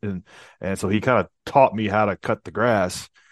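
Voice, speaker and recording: A man with a normal speaking voice and fairly low pitch talks at a fairly quick pace with ordinary pitch variation, the sound dry and close with no echo. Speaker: entrepreneur. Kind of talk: interview.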